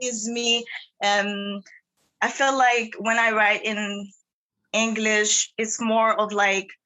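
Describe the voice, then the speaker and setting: A woman speaks very slowly with a Haitian accent. Her fairly high voice stays monotone and flat. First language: Haitian Creole. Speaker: singer-songwriter. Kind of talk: interview.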